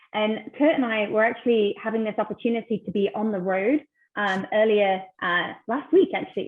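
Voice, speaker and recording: With a British accent, a woman talks at a fairly quick pace, her pitch fairly high and her intonation lively. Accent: British accent noticeable. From UK. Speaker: ministry team member, webinar host. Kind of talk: online webinar conversation.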